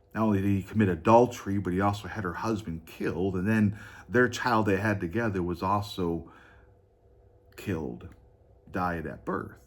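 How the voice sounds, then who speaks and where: The man's voice sits fairly low in pitch. Room echo is audible around him. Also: ordinary pitch variation, moderate pace. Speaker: pastor. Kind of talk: sermon. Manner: halting.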